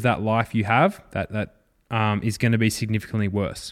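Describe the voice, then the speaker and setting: A man speaks at a fairly quick pace with an Australian accent. The recording is very clean, with a silent background. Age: 20s. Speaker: fitness and rehab coach, podcast host. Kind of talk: solo educational podcast. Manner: casual, with frequent fillers and repetitions.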